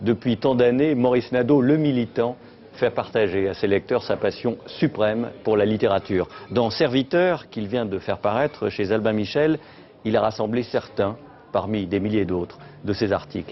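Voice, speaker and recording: With a normal speaking voice, a man talks at medium pitch and a moderate pace with ordinary pitch variation. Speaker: interviewer. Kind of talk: TV interview questions and introduction.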